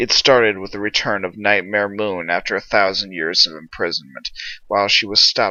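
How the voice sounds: What we hear is a natural reading voice.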